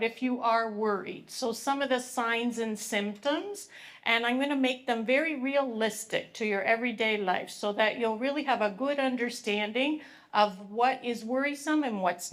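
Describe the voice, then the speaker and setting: Loud and high-pitched, a woman with a Canadian accent speaks at a fairly slow pace with ordinary pitch variation and hardly any pauses. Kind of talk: public presentation. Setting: live event with audience, microphone. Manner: animated.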